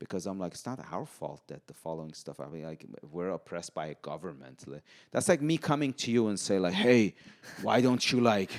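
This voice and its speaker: A man with an Iranian accent speaks at a fairly quick pace in a very deep, low voice with very wide pitch swings, the sound dry and close with no echo. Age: 40s. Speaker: podcast guest. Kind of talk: casual chat. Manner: halting.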